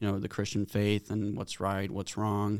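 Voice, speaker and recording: With a Swedish accent, a man speaks at a fairly low pitch. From Sweden. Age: 20s. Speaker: college tennis player. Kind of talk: casual interview.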